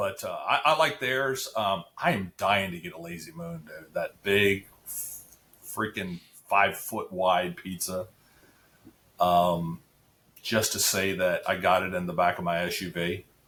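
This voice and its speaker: With an American accent, a man speaks in a very deep, low pitch and a bright, sharp tone, his loudness swinging widely and his pitch varying in an ordinary way. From Central Florida (Apopka). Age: 50s. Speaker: high school athletics advocate. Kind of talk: casual interview chat. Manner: halting, many fillers and repeats.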